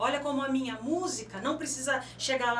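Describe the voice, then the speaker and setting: This woman's voice is high in pitch, with ordinary pitch variation and a moderate pace. Audible room echo and noticeable background noise surround it. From São Paulo city, Brazil. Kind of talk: radio interview. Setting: radio studio.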